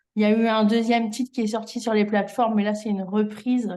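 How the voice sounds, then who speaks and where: A woman speaks at a medium pitch with a dark, mellow tone. Her intonation is monotone and flat against a quiet background. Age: 40s. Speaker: singer and musician. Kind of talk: interview. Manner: hesitant.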